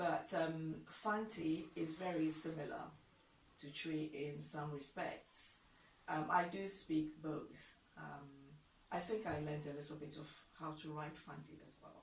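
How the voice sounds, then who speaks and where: With a Ghanaian accent, a woman speaks at a fairly slow pace in a very deep, low, somewhat breathy voice, her intonation fairly even but her loudness swinging widely, with audible room echo. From Ghana, Accra. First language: Ga. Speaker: language teacher. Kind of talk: tutorial.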